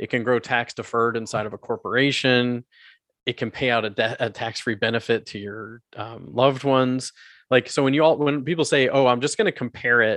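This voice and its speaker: In a plain, everyday voice, a man with an American accent talks at a fairly quick pace and medium pitch. The sound is dry and close with no echo, over a quiet background. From United States. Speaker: financial planner. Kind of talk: interview.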